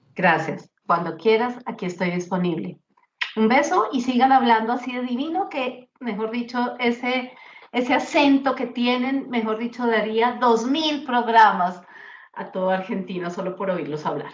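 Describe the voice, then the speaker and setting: A woman's high-pitched voice at a fairly slow pace, with lively intonation. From Colombia, Bogotá. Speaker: grief speaker and author. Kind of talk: interview testimony.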